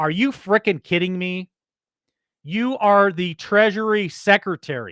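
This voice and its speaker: A man shouting loudly in an American accent, animated, with a bright, sharp tone, in a dry, close sound with no echo and a very clean recording against a silent background. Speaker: political commentary show host. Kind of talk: news commentary. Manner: loud, yelling.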